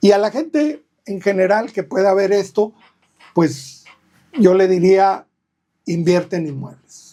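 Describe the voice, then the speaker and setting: Using lively intonation and a dark, mellow tone, a man with a high pitch talks at a fairly slow pace with long, frequent pauses. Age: 60s. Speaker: real estate agent. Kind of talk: podcast interview.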